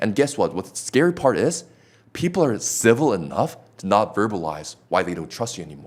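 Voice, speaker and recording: With a non-native accent, a man of medium pitch talks fairly quickly, making very wide pitch swings and big swings in loudness. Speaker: sales trainer. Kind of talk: casual chat. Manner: animated.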